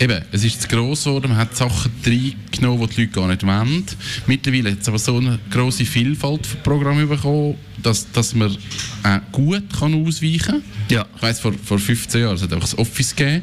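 A man with ordinary pitch variation talks fairly quickly while noticeable background noise persists. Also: medium pitch for a man. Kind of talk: casual chat.

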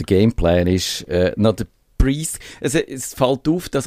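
A man's medium-pitched, dark and mellow voice in a Swiss accent, at a fairly slow pace. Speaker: radio host. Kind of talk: casual chat. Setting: studio.

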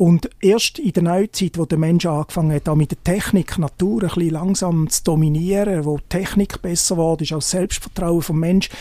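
Pitch shifts in a normal way as the words come fairly quickly. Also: man. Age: 50s. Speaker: journalist. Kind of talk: casual interview. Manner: halting.

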